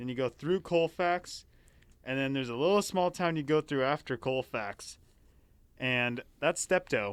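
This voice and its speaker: Here a man with an American accent speaks at a fairly high pitch and fairly slow pace, with ordinary pitch variation. The recording is very clean with a silent background and a dry, close sound with no echo. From eastern Washington, US. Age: 20s. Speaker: college student. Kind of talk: casual chat.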